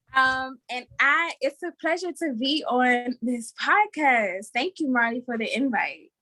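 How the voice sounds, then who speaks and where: In a Southern US accent, a raised, projected voice with a bright, sharp tone and lively intonation moves at a fairly slow pace with hardly any pauses, the sound dry and close with no echo. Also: woman, high pitch for a woman. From South Carolina, US South. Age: 20s. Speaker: podcast panelist. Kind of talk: casual chat.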